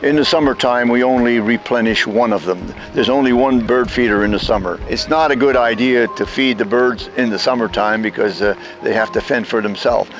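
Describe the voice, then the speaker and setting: Clear music plays in the background of a dry recording with no echo. A man talks at a moderate pace and medium pitch, with fairly even intonation. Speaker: community volunteer. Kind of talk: documentary interview answer. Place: street.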